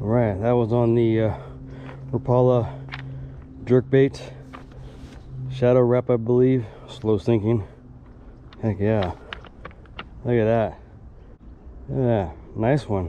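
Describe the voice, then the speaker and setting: A man at a very slow pace, with long, frequent pauses, dry sound with no echo and light background noise. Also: ordinary pitch variation. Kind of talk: casual vlog chat. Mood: pleased, relaxed. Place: waterside. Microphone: phone near.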